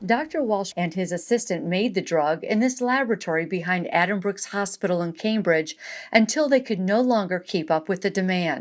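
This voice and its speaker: A woman with an ordinary speaking voice, medium pitch, lively intonation and a fairly quick pace, on a very clean recording with a silent background. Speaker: medical journalist. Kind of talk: documentary narration.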